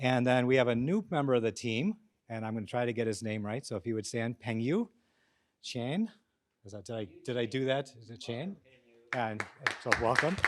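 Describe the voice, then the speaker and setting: A man with a medium pitch and ordinary pitch variation speaks at a moderate pace. He leaves long, frequent pauses, and his loudness swings widely. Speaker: professor, program director. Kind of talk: speech to audience. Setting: auditorium with audience.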